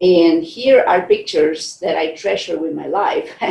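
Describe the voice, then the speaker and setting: At a fairly slow pace, a woman speaks with a Costa Rican accent. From Costa Rica, San Jose. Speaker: scientist. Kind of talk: keynote speech. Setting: virtual conference.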